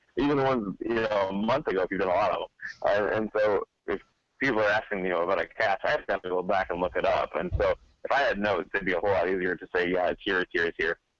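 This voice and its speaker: The speech comes at a very fast pace. The sound is dry and close, with no echo. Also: man. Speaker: podcast guest, geocaching software user. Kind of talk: casual chat. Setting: video call.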